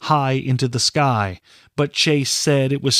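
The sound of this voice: With fairly even intonation, someone reads in an unforced reading voice.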